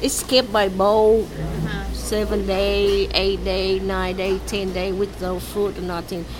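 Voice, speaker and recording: A woman with a Vietnamese accent at a very slow pace with hardly any pauses, over noticeable background noise. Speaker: refugee interviewee. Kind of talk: interview. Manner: halting.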